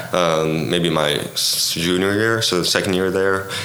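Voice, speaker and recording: Against noticeable background noise, a man with a very deep, low pitch speaks at a fairly slow pace with fairly even intonation. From Egypt. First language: Arabic. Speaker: Olympic swimmer. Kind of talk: interview.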